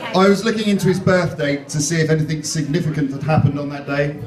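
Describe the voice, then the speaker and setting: The speaker talks at a fairly quick pace with an English accent. Audible room echo and noticeable background noise are present. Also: man. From England. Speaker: wedding MC. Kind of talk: wedding speech. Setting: stage with audience.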